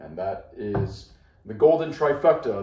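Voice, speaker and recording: A man speaks in a dark, mellow, somewhat breathy tone with ordinary pitch variation. The room gives off an audible echo. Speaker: whiskey reviewer. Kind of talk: product review. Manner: casual, conversational. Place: home room. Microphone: camera far.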